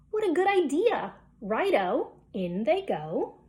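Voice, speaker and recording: In a put-on character voice, the speaker goes at a fairly slow pace with a sing-song delivery and very wide pitch swings. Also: woman, high pitch for a woman. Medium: read story. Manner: gleeful, sing-song.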